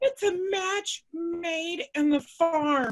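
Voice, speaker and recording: Woman's put-on character voice, squeaky and extremely high-pitched, with an enthusiastic tone. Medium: stage play. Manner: enthusiastic, folksy.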